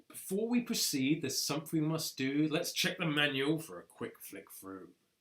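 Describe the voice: In a put-on character voice, a man sounds gruff and fairly high-pitched, swinging very widely in pitch at a moderate pace.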